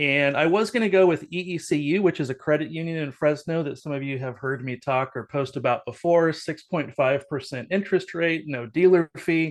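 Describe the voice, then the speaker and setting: A man with a fairly high pitch talks at a fairly quick pace with hardly any pauses and ordinary pitch variation over a quiet background. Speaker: solar sales rep. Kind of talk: casual team meeting chat. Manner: fast.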